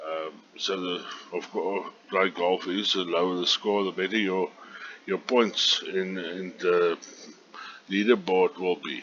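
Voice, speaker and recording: A man speaks at a fairly slow pace with a South African accent, his pitch very deep and low, his intonation fairly even. Long, frequent pauses break up his speech over noticeable background noise. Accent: Afrikaans South African. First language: Afrikaans. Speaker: online golf club organizer. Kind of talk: screen tutorial. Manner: halting, many fillers.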